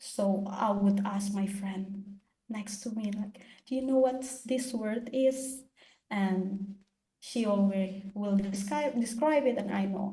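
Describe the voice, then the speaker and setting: The speech comes at a very slow pace with an Indonesian accent. It is somewhat breathy, with fairly even intonation. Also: woman. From Eastern Indonesia. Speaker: international graduate student. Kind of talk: seminar Q&A answer.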